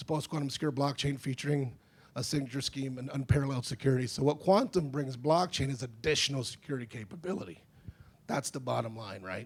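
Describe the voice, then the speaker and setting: A man speaks at a very fast pace, somewhat breathy. His loudness swings a lot. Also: medium pitch for a man, ordinary pitch variation. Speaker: conference speaker on defense technology. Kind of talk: conference presentation.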